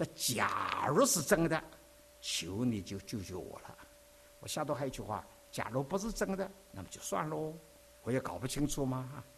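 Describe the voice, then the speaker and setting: A man with a fairly high pitch speaks at a moderate pace, with very wide pitch swings, big swings in loudness, long and frequent pauses, and noticeable background noise. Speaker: visiting preacher. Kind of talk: sermon.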